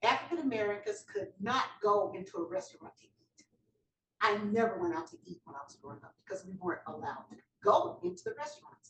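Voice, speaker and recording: Fairly quick in pace, a woman's voice makes very wide pitch swings and big swings in loudness. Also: medium pitch for a woman. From US South, North Carolina. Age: 70s. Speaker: judge. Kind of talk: panel talk, personal history. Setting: event hall with audience.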